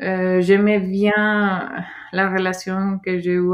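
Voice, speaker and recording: On a very clean recording with a silent background, a woman speaks very slowly at a medium pitch in a monotone, flat intonation. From Mexico, Sinaloa. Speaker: former au pair. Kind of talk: interview testimony. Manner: halting.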